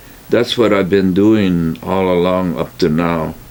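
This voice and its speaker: This man talks at a very slow pace in an American accent. His pitch is very deep and low, with fairly even intonation. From California. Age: 80s+. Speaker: retired produce store owner. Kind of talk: oral history interview. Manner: halting, many fillers.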